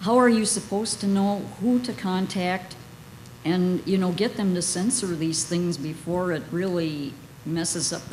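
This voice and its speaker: Amid noticeable background noise and audible room echo, a woman speaks in a fairly low voice with ordinary pitch variation. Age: 60s. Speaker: audience member asking a question. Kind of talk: audience question.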